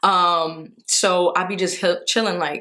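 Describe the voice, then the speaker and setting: With a New York accent, a woman speaks at a medium pitch in a bright, sharp tone. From New York, the Bronx. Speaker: vlogger. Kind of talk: casual vlog.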